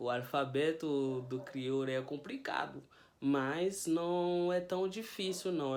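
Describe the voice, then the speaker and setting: A man with a fairly high voice and a Haitian Creole accent, speaking at a very slow pace. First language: Haitian Creole (speaking Portuguese). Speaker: language teacher youtuber. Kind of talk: tutorial. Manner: casual.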